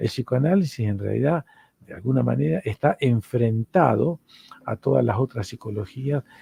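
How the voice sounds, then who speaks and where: The speaker is a man with an Argentine accent. He talks at a moderate pace. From Argentina. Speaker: psychoanalyst and university lecturer. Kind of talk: lecture.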